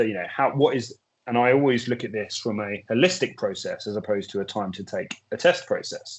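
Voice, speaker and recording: A man speaks with a British accent. His pace is fairly quick. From UK. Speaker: drug testing expert. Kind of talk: webinar presentation. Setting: webinar video call.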